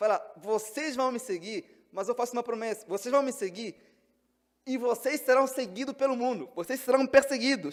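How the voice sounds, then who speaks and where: Talking at a moderate pace, a man uses an extremely high pitch with ordinary pitch variation. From Angola. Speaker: pastor. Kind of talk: sermon.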